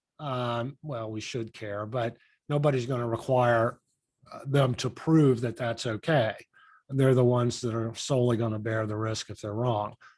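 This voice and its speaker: At a moderate pace, a man with a normal speaking voice talks at a medium pitch with fairly even intonation. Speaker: lawyer teaching real estate agents. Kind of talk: online class. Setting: video call with screen share.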